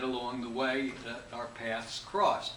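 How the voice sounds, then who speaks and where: A man with an American accent speaks amid audible room echo and noticeable background noise. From United States. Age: 70s. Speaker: hypnotist and instructor. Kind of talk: interview. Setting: interview.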